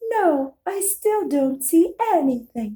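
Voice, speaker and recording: A woman puts on a character voice at an extremely high pitch, talking very slowly with very wide pitch swings. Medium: read story. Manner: calm, innocent, gently teasing.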